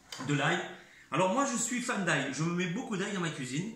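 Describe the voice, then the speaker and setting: Over noticeable background noise and audible room echo, a man's voice swings very widely in pitch. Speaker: home cook making cooking videos. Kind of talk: cooking tutorial. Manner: halting, repeats words.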